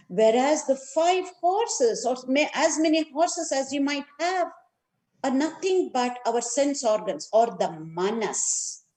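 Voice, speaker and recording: With a South Indian accent, a woman with a high pitch speaks at a fairly slow pace, her pitch swinging very widely. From India, Karnataka. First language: Kannada. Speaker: neuroscience and yoga educator. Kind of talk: lecture.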